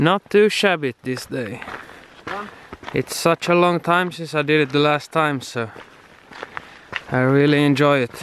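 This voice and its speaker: A man speaks fairly slowly with ordinary pitch variation and long, frequent pauses. The sound is dry with no echo, with light background noise. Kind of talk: casual vlog chat. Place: open country. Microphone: phone near.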